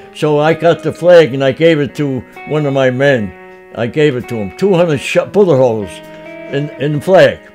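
Faint music plays in the background as a man speaks at a fairly high pitch and moderate pace with ordinary pitch variation. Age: 80s+. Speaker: World War II navy veteran. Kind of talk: interview answer. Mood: earnest, reliving a frightening memory. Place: home room.

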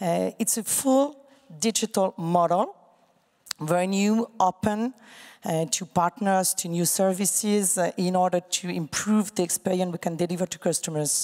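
A woman with a French accent speaks at a moderate pace with ordinary pitch variation, leaving long, frequent pauses. The background is quiet. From France. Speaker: digital bank chief executive. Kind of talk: panel discussion. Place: hall. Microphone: handheld.

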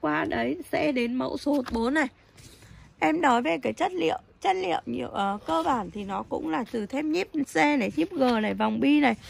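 Her high-pitched voice makes very wide pitch swings as the woman speaks at a moderate pace. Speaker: knife seller. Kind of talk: sales pitch.

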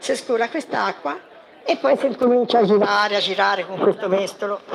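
A woman talks at a moderate pace and medium pitch, with ordinary pitch variation and vocal fry. Faint crowd noise sits in the background.

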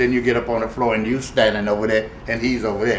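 A man's voice comes with audible room echo and light background noise. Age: 80s+. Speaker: swing dancer. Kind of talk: interview answer. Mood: warm, smiling, nostalgic. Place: home room.

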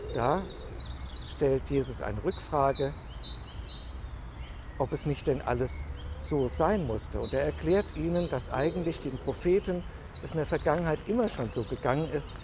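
A man speaks at a moderate pace with long, frequent pauses, the sound dry with no echo but with noticeable background noise. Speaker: pastor giving a devotional. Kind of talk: church devotional / sermon. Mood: calm, reflective. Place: garden.

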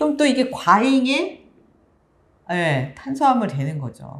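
With vocal fry and very wide pitch swings, a woman speaks at a fairly slow pace. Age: 50s. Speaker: pharmacist and author, cancer survivor; guest. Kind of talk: interview. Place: studio. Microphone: lapel.

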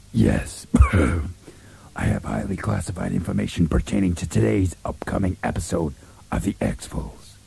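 A man's put-on character voice, very deep and low, husky and hoarse, at a moderate pace with very wide pitch swings and long, frequent pauses. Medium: comedy sketch. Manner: hushed, conspiratorial.

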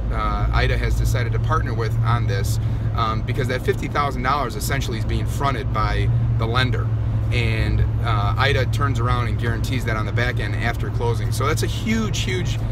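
A man talks at a moderate pace in a dry, echo-free sound. Loud noise fills the background. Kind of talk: casual vlog chat. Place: car. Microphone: phone near.

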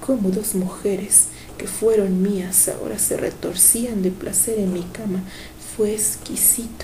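This is a natural reading voice. Its intonation stays fairly even.

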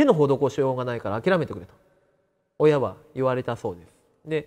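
Quiet surroundings and a man's moderately paced speech. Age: 30s. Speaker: cancer survivor. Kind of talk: interview testimony. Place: classroom. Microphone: lapel.

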